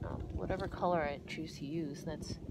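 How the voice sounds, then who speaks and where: A woman speaks over noticeable background noise. The sound is dry, with no echo. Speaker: art teacher. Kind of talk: drawing tutorial talk. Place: garden. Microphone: phone near.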